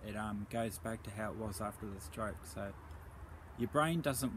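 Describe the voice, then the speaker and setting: Speaking at a fairly quick pace, the voice shows vocal fry and very wide pitch swings, with audible room echo. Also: man. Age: 30s. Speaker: stroke survivor vlogger. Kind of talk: personal testimony. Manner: hesitant, with fillers.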